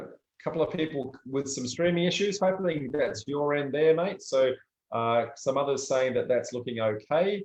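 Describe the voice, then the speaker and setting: Ordinary pitch variation from a man in an Australian accent. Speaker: property development educator. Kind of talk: live stream talk. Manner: casual, many filler words.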